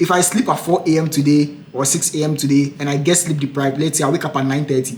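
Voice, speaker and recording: Noticeable background noise accompanies a man talking at a very fast pace. His voice is fairly high, with fairly even intonation. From Africa. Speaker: international student and podcaster. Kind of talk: casual chat.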